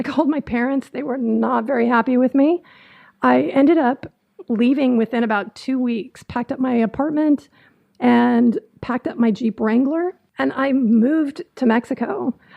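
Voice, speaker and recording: Female speech, high in pitch, with an American accent. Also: ordinary pitch variation, moderate pace. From Southern California. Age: 40s. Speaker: podcast host. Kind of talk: casual podcast monologue.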